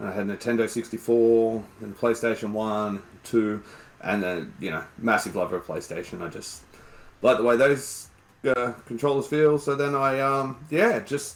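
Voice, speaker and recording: Speaking with an Australian accent, a man of medium pitch talks at a moderate pace with ordinary pitch variation. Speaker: game streamer. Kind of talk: podcast interview.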